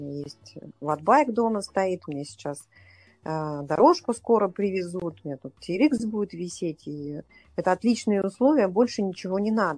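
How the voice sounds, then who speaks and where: A woman speaks at medium pitch and a moderate pace with lively intonation and big swings in loudness. It is an ordinary speaking voice against a quiet background. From Russia, Saint Petersburg. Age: 40s. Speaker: triathlete and coach. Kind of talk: interview. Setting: remote call.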